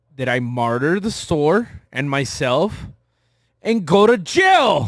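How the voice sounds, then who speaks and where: With a Texas border accent, a man of fairly high pitch talks at a very slow pace, his pitch swinging very widely. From Texas border region. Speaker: podcast co-host, shop owner. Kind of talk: casual chat.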